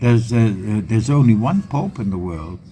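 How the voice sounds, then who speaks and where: A man with a Dutch accent, against noticeable background noise. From Netherlands. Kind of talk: interview. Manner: halting.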